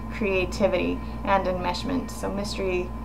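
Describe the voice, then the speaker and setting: Through audible room echo and noticeable background noise, a woman talks at a fairly slow pace. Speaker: student vlogger. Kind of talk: video response to a reading. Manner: halting, many fillers and repetitions.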